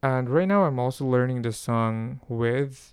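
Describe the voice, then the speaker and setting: A man's voice at medium pitch with ordinary pitch variation. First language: not English. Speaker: solo podcast host, Korean language learner. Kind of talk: casual solo monologue. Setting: home recording at night. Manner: halting, many restarts and fillers.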